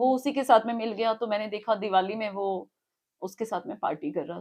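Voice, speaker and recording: Using a plain, everyday voice, a woman speaks at a moderate pace with a fairly high pitch, ordinary pitch variation and big swings in loudness. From Himachal Pradesh, Shimla. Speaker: alleged abuse victim. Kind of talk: interview testimony. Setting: outside party headquarters.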